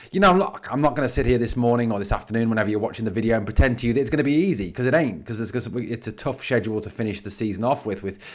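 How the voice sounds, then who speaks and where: Speaking very fast in an English accent, a man has a fairly low pitch. His tone is animated, with ordinary pitch variation. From England. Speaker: sports podcaster. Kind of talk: sports news commentary.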